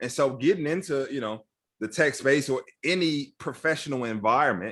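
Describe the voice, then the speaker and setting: A man with an American accent has an ordinary speaking voice at medium pitch with ordinary pitch variation. He talks at a moderate pace in a very clean recording with a silent background. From Chicago, South Side (Roseland). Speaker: tech training nonprofit CEO. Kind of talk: interview conversation. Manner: casual, repetitive filler words.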